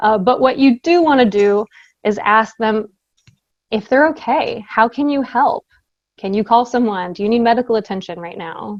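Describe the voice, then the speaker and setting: An ordinary speaking voice comes from a woman with a fairly high pitch and ordinary pitch variation. She talks at a moderate pace, and the sound is dry and close with no echo. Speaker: safety trainer and presenter. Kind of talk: training presentation. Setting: virtual presentation.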